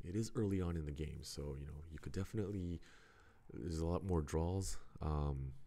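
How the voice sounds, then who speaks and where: With audible room echo, a man with a very deep, low pitch and a dark, mellow tone talks at a fairly quick pace. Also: ordinary pitch variation. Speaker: mahjong stream commentator. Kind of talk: live commentary. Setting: livestream near a game room.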